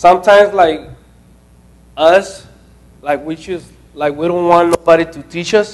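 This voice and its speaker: Noticeable background noise sits behind the recording. A man talks at a moderate pace with fairly even intonation. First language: not English. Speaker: intern presenting at a training session. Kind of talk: group talk at a training session. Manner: halting, many fillers and restarts.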